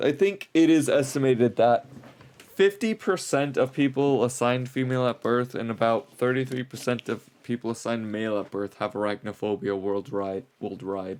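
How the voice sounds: A man's slightly mellow voice at medium pitch, moderate pace, lively intonation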